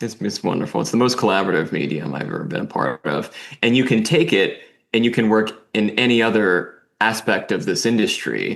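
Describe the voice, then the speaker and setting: Speaking at a fairly quick pace, a man uses a medium pitch with very wide pitch swings and vocal fry. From US Northeast, New Jersey. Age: 30s. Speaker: filmmaker. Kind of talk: casual interview. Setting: video call. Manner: halting, many repetitions.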